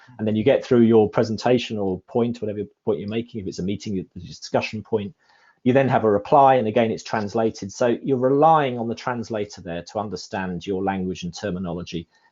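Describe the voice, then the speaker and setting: A man with a fairly low pitch talks at a very fast pace, with ordinary pitch variation. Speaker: climate scientist presenter. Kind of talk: panel Q&A discussion. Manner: halting, many repetitions.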